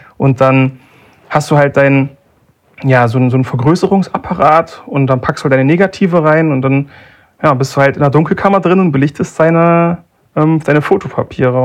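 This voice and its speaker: The speaker is a man with a plain, everyday voice. He keeps a moderate pace and ordinary pitch variation. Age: 20s. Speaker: analog photographer. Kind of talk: casual chat.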